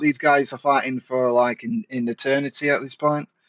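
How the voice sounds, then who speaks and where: A man speaks in a Mancunian accent. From Manchester, northern England. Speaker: gaming streamer and commentator. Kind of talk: live game commentary with casual chat. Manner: animated.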